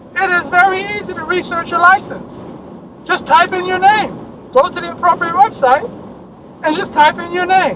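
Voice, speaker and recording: The voice is loud and moves at a moderate pace, broken by long, frequent pauses. Noticeable background noise runs underneath. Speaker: insurance adjuster trainer. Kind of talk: video rant.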